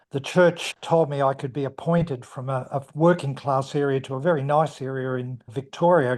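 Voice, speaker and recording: With an Australian accent, a man speaks at a fairly high pitch with fairly even intonation over a quiet background. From Australia, Melbourne. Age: 80s+. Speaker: retired minister. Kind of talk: interview.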